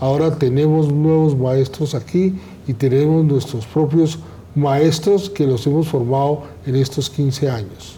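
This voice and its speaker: A plain, everyday voice speaks at a fairly slow pace, with very even loudness and ordinary pitch variation. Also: man, fairly high pitch for a man. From Colombia. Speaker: law professor, program director. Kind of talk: formal conversation. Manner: formal.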